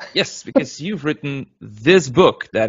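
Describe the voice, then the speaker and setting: A man's somewhat breathy voice with lively intonation, at a moderate pace. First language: Dutch. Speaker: podcast host. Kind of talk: casual interview. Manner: halting.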